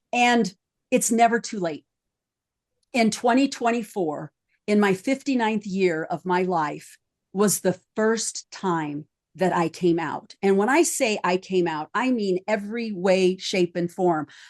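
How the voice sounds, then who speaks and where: Against a quiet background, a woman with an unremarkable speaking voice talks at medium pitch and a fairly slow pace, her intonation lively. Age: 50s. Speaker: psychologist and life coach podcast host. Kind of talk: round table podcast discussion. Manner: conversational with frequent fillers.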